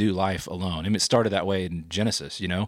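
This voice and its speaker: On a very clean recording with a silent background, a man with an American accent speaks very fast at a fairly low pitch with fairly even intonation. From Oklahoma, US. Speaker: church staff minister. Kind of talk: podcast interview.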